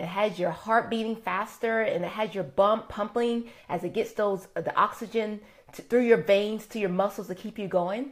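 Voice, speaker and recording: A woman at a moderate pace, ordinary pitch variation, and a quiet background. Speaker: wellness host. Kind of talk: live broadcast talk. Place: home room. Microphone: phone near.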